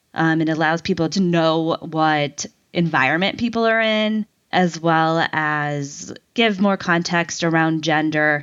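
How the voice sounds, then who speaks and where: A woman's fairly low voice with an American accent, fairly slow in pace, with ordinary pitch variation and very even loudness. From US Midwest, Ohio. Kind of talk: interview. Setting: office.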